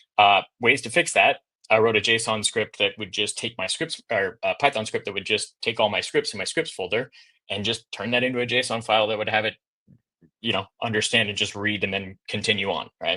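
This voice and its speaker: Fairly low male pitch with a bright, sharp tone and fairly even intonation. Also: quiet background. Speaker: game developer presenting at an online event. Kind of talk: conference presentation. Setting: virtual event. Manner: fast; casual, filler-heavy.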